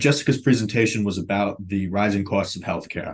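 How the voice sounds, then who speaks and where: A man with an American accent has a normal speaking voice, fairly low in pitch with fairly even intonation, against a quiet background. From New York City (Brooklyn). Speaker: health insurance policy staffer. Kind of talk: podcast interview.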